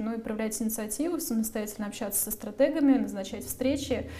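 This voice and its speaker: A woman's fairly high voice at a fairly quick pace, with audible room echo. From Russia, outside Moscow. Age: 30s. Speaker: media manager. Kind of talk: interview.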